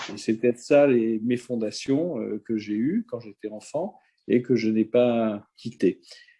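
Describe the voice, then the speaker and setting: Dry and close with no echo, a man's dark, mellow voice sits at a medium pitch. He talks at a very slow pace with ordinary pitch variation. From Algeria, near Algiers, then France from age 11. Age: 70s. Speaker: social media speaker. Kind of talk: interview. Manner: hesitant, many filler sounds.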